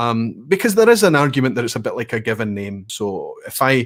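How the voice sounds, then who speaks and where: In a Scottish accent, a man talks at a fairly quick pace with a medium pitch. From Scotland. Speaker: whisky educator. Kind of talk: live stream conversation.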